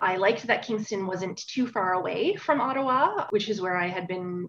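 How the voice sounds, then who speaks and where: A woman with a Newfoundland accent, medium pitch, ordinary pitch variation and a moderate pace. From Newfoundland, Bonavista. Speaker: historian. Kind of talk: interview.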